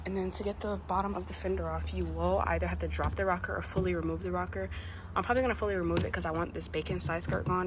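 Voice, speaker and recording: Very fast pace amid audible room echo. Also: woman. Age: 20s. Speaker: car content creator. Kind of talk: vlog tutorial. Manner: casual.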